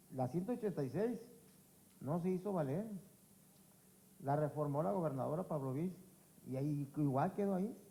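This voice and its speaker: With a dark, mellow tone and a somewhat breathy, fairly high voice, a man talks at a moderate pace with lively intonation, very even loudness, and long, frequent pauses. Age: 60s. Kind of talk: public forum testimony. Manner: halting, with repetitions.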